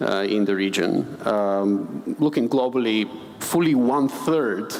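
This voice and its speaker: Low-pitched for a man, fairly so, this speaker talks with a Bulgarian accent. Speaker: finance expert, panelist. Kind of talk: panel discussion. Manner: hesitant, many fillers and repetitions.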